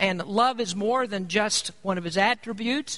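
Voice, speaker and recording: A man's raised, projected voice, high-pitched with a bright, sharp tone and lively intonation. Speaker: pastor. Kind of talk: sermon.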